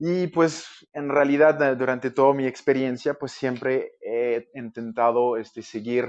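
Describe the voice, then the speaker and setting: In a French Canadian accent, a man speaks at a fairly slow pace with medium pitch and fairly even intonation. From Quebec, Canada. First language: French (speaking Spanish). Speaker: architect. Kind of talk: podcast interview. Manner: hesitant, many fillers.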